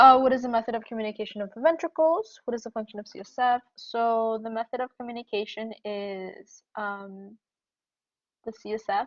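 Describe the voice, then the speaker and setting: Against a quiet background, a woman with a fairly high pitch and ordinary pitch variation speaks with big swings in loudness. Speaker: student tutor leading a review session. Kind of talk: lecture. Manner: fast.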